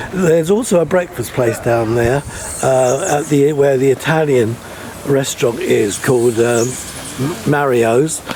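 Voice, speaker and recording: Against noticeable background noise, a man speaks at a medium pitch and a moderate pace. His loudness stays very even, and his pitch varies in an ordinary way. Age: 70s. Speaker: travel vlogger. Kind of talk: casual vlog narration.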